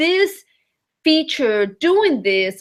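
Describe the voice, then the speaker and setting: Speaking at a fairly slow pace with a non-native accent, a woman lets her pitch swing very widely. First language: not English. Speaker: vacation rental host and webinar coach. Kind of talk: webinar teaching. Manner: casual, many fillers.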